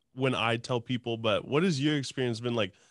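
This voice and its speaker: On a very clean recording with a silent background, a man uses a normal speaking voice, talking at a fairly quick pace with fairly even intonation. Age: 20s. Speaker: podcast host and helicopter pilot. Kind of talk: casual chat.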